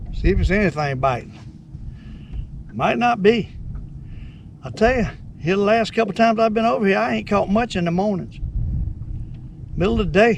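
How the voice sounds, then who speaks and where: With a Southern US accent, a man talks at a fairly quick pace in a high pitch with lively intonation, broken by long, frequent pauses. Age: 70s. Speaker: fishing vlogger. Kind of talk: fishing vlog narration. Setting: outdoors in a boat. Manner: animated.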